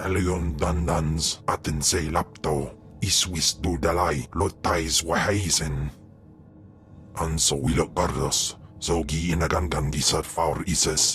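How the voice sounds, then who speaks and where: Putting on a character voice, a man speaks with a very deep, low pitch, a fairly slow pace and fairly even intonation over clear background noise. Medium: video game. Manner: speaks only an alien language.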